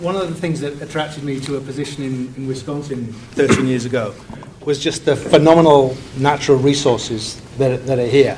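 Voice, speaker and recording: With a northern British accent, a man talks at a fairly quick pace and a fairly high pitch, keeping his intonation fairly even. Noticeable background noise and audible room echo fill the recording. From northern England. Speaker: university sustainability researcher. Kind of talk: panel discussion.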